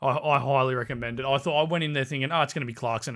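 On a very clean recording with a silent background, a man with an Australian accent speaks in a fairly high voice with fairly even intonation. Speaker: podcast co-host. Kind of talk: casual chat.

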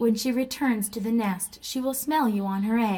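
The pitch varies in an ordinary way during plain reading aloud.

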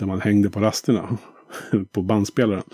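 Dry and close with no echo, the sound carries a dark, mellow tone. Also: man. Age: 50s. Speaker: podcast host and producer. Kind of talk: casual interview chat; scripted intro and outro.

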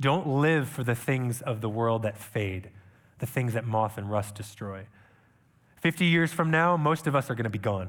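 Here a man has a normal speaking voice at medium pitch. His intonation is lively and his pace moderate. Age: 30s. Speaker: missionary preacher. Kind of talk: sermon. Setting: church.

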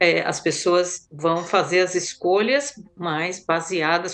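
Speaking very slowly, a woman uses a medium pitch. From Brazil. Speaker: physician and public health consultant. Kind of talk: panel discussion. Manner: halting.

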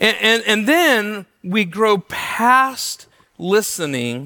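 Bright and sharp in tone, a man's high-pitched voice comes out raised and projected. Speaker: pastor. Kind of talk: sermon. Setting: church. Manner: loud; halting.

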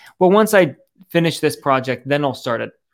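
A man with a normal speaking voice, moderate pace and ordinary pitch variation. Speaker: entrepreneur and life coach. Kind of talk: casual conversation.

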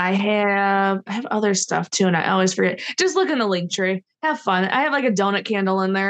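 This woman has a plain, everyday voice at a medium pitch, talking at a fairly quick pace with an American accent and very even loudness. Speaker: professional wrestler. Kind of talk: casual chat. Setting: video call.

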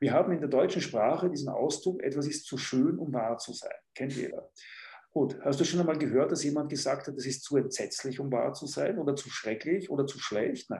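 A man speaks at a fairly high pitch with a dark, mellow tone. His voice is somewhat breathy. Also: ordinary pitch variation. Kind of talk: interview. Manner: fast.

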